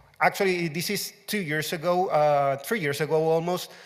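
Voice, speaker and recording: A man with a Spanish accent speaks at a fairly high pitch. He goes at a fairly slow pace, his intonation fairly even. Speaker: open source community manager. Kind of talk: conference talk. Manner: loud.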